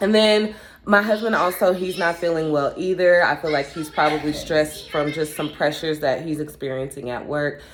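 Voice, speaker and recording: A woman's very deep, low voice, relaxed in tone, with hardly any pauses. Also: ordinary pitch variation, moderate pace. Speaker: vlogger, amateur runner and mom. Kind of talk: casual vlog talk to camera.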